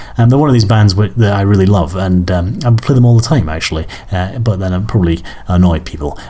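Amid noticeable background noise, a man with an Edinburgh accent speaks very fast in a fairly low voice with lively intonation. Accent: Scottish (Edinburgh). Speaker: music podcast host. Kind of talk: casual chat. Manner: hesitant with many fillers.

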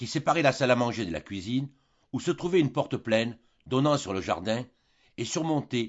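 The clip features an unforced reading voice. The reading continues in that manner throughout.

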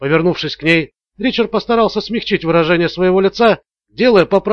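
Quiet surroundings, ordinary shifts in pitch, and plain reading aloud

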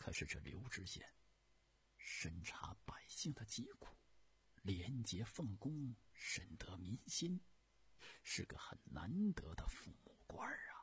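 A whispered put-on character voice with a husky, rough edge, a slow pace, and long, frequent pauses. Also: man.

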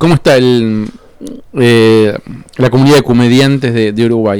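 A man speaks at medium pitch with a clear, smooth and slightly mellow tone.

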